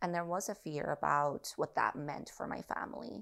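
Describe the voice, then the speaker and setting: On a very clean recording with a silent background, a woman speaks with a Spanish accent. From Mexico, central (north of Mexico City). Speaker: visual artist and curator. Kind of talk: casual interview conversation.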